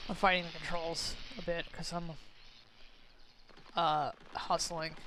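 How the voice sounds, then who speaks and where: With an American accent, a woman speaks fairly slowly at a fairly low pitch in a monotone, flat intonation, her loudness swinging widely amid audible room echo. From US South. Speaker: streamer. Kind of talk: gameplay commentary. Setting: live stream. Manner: casual, rambling with hesitations.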